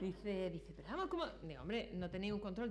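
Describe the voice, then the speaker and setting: Noticeable background noise and audible room echo surround the speaker. She is a woman with a medium pitch. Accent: Andalusian. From Granada, Andalusia, Spain. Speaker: public procurement regulator, conference speaker. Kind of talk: conference talk. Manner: animated storytelling.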